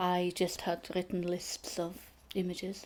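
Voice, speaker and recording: Speaking very slowly, a woman with a Welsh accent has a dark, mellow tone at a medium pitch. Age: 60s. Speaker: photographer. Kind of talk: interview. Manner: hesitant, many fillers.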